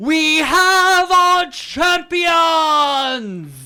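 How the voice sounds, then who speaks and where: A put-on character voice. The pitch sits extremely high. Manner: announcing, echoing.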